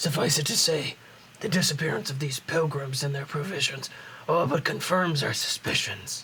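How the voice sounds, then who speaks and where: A man's raspy, put-on character voice, fairly high in pitch, at a moderate pace with fairly even intonation over light background noise. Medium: game stream. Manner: gruff, formal.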